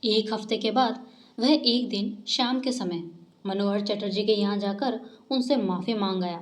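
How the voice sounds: This is a natural reading voice. Its pitch variation is ordinary.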